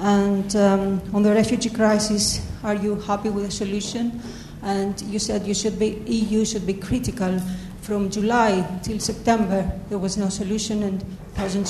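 With a Greek accent, a woman of medium pitch speaks at a moderate pace in a monotone, flat intonation, with audible room echo and noticeable background noise. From Greece. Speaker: journalist. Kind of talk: audience question. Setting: lecture hall with audience.

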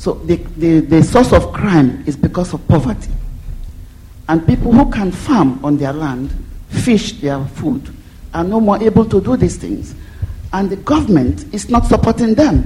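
A woman's medium-pitched voice at a fairly slow pace, with very wide pitch swings and noticeable background noise. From Nigeria. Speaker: audience member asking question. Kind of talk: audience question. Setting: lecture hall with audience.

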